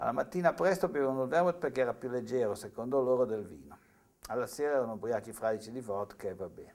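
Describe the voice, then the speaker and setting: Very fast, lively speech with big swings in loudness over a quiet background. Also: man, medium pitch for a man. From Italy, Savona (Liguria); Liguria, Italy. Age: 60s. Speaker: TV writer and university lecturer; university lecturer. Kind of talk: interview testimony; interview answer. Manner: halting, with repetitions. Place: studio.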